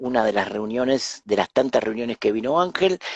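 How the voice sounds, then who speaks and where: This is a normal speaking voice: a man at medium pitch and a moderate pace, with lively intonation. The sound is dry and close, with no echo. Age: 60s. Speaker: spiritual teacher and author. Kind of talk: interview, personal storytelling. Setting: live stream.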